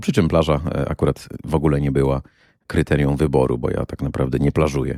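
Speaking at a moderate pace with fairly even intonation, a man has a very deep, low pitch, a dark, mellow tone and vocal fry, heard in a dry, close recording with no echo. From Poland, Kuyavian-Pomeranian region. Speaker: podcast host and tour guide. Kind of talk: solo podcast monologue.

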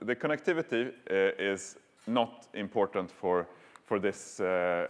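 A man talks in an ordinary speaking voice at a moderate pace. His pitch varies in an ordinary way. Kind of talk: conference talk. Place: hall.

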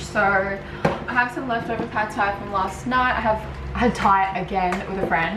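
Through loud background noise, a woman speaks at a moderate pace. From Australia. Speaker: lifestyle vlogger. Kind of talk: casual vlog talk to camera. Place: home room. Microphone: phone near.

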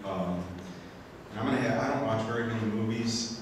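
At a fairly quick pace, a man speaks with a fairly low pitch and ordinary pitch variation. An audible room echo surrounds his voice.

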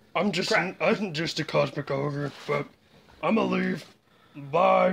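This put-on character voice sits at a low-to-middle pitch and moves at a very slow pace. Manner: casual, deadpan.

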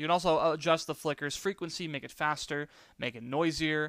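A man with an American accent talks fairly quickly in a fairly high voice with fairly even intonation, an ordinary speaking voice. The recording is very clean with a silent background and a dry, close sound with no echo. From New York. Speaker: YouTuber. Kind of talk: tutorial. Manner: casual.

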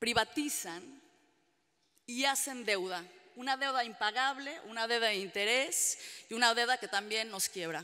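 In a quiet background, a woman with a fairly high pitch and a bright, sharp tone speaks at a fairly slow pace in a passionate, animated way, with lively intonation and long, frequent pauses. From Mexican-American (US-raised Mexican). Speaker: trade union organizer; panelist. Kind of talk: panel debate talk. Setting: public panel with audience. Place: hall. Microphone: podium.

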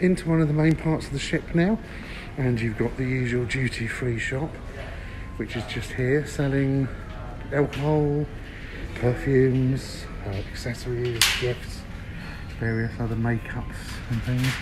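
Over noticeable background noise, the speaker moves at a fairly slow pace with ordinary pitch variation and long, frequent pauses. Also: man. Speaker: travel reviewer. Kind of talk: casual walkthrough commentary. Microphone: phone near.

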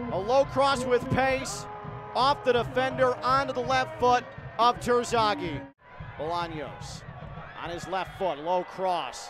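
The speaker has an animated tone and a fairly slow pace, with long pauses coming often. Background noise is noticeable throughout. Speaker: live match commentator. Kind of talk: live sports commentary over match highlights. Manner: animated, exclaiming at goals.

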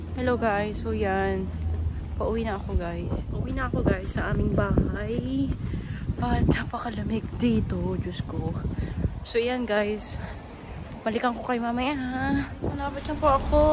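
Loud background noise sits behind a woman speaking at a fairly slow pace. The sound is dry, with no echo. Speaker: vlogger. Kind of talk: casual vlog chat. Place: street. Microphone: phone near.

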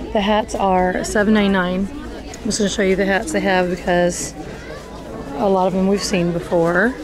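There is crowd noise in the background. A woman talks at a moderate pace. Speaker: shopping vlogger. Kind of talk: casual vlog chat. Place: shop. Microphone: phone near.

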